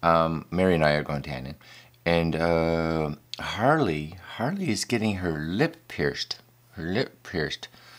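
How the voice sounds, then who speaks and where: At a fairly slow pace, a man talks in a very deep, low pitch with ordinary pitch variation. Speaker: vlogger. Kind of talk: casual vlog. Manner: halting, repeats words. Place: studio.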